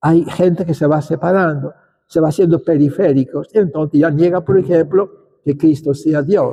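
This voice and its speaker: His voice is high-pitched for a man yet dark and mellow in tone. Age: 80s+. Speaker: bishop. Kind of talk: lecture. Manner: halting.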